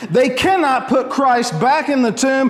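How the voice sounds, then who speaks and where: Speaking at a fairly slow pace, a man with an extremely high pitch is heard over noticeable background noise. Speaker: preacher. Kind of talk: sermon delivered to a congregation. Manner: commanding, forceful, rhetorical.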